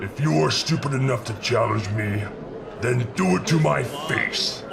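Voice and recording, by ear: Doing a put-on character voice, a man of medium pitch speaks at a moderate pace over loud background noise.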